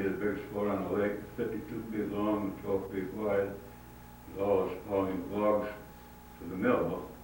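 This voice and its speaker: Noticeable background noise sits behind a man with an American accent. He speaks fairly low in pitch and at a fairly slow pace. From Hinsdale, Illinois. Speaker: photographer and former newspaper publisher. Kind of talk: oral history interview answer.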